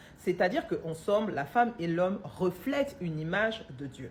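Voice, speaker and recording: Lively intonation marks this woman's speech. Her pace is moderate. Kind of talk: religious teaching monologue. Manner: loud.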